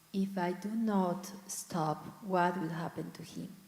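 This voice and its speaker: Speaking at a very slow pace, a woman has a dark, mellow tone, a medium pitch, fairly even intonation and a somewhat breathy voice. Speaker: congregant. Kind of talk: group discussion comment. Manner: halting.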